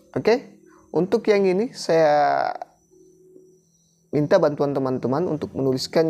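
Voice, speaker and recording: A man talks with ordinary pitch variation. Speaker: teacher-training exam tutor. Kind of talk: tutorial.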